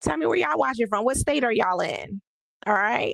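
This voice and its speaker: Very fast and animated, a woman speaks with very wide pitch swings in a dry, close sound with no echo. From New Jersey. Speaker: livestream host, ADHD and money coach. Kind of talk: casual livestream talk to viewers. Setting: live stream on social media. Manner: animated, conversational.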